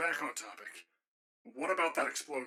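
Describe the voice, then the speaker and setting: A man uses a raspy, put-on character voice at a moderate pace. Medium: audio drama. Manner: dry, patient.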